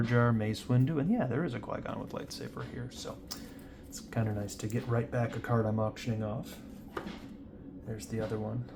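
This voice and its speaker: At a moderate pace, a man talks in a medium pitch with fairly even intonation over noticeable background noise. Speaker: trading card collector and seller. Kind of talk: casual pack-opening commentary. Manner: raised voice over noise.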